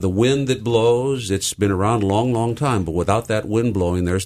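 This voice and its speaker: A man talks at a fairly quick pace. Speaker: pastor. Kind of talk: radio interview. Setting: studio. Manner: loud.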